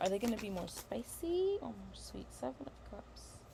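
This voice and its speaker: Against noticeable background noise, a woman talks at a fairly slow pace. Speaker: tarot reader. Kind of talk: tarot reading livestream. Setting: livestream. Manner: halting, self-correcting.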